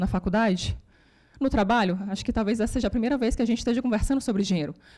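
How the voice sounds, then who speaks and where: A woman speaks at a very fast pace with lively intonation. Her fairly high voice has a dark, mellow tone. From Brazil, Ceará. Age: 30s. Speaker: economist and economics lecturer. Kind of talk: lecture. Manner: animated.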